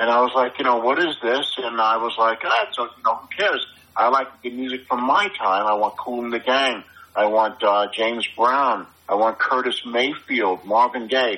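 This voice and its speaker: A man speaks with a New York accent at a medium pitch. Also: ordinary pitch variation, moderate pace. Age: 60s. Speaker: graffiti artist and musician. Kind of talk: casual interview chat. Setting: phone call. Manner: blunt, confident.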